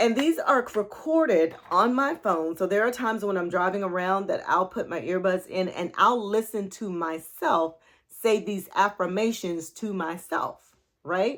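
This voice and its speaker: A woman's normal speaking voice at medium pitch, a fairly slow pace, very clean recording with a silent background. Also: lively intonation. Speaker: life coach. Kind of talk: motivational talk.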